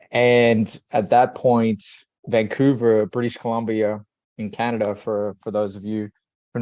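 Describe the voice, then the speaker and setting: In an Australian accent, the speaker uses a dark, mellow tone and a flat monotone at a moderate pace against a quiet background. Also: man. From Australia, Sydney. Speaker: leadership coach. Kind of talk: podcast interview.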